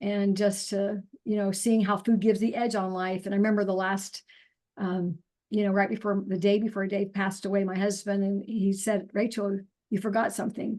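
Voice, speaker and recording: Against a quiet background, a woman speaks fairly quickly at a medium pitch. Her tone is dark and mellow, her intonation monotone and flat. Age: 60s. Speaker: naturopathic doctor and nutrition counselor. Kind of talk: interview testimony. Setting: video call.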